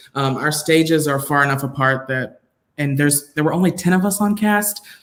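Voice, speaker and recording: This man has an unremarkable speaking voice with a fairly high pitch, ordinary pitch variation, and an American accent, speaking at a moderate pace. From South Georgia, US. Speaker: performing artist. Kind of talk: casual chat.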